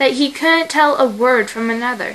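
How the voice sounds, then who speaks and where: Bright, sharp tone from a woman with lively intonation. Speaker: fan fiction reader. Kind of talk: casual chat; reading aloud.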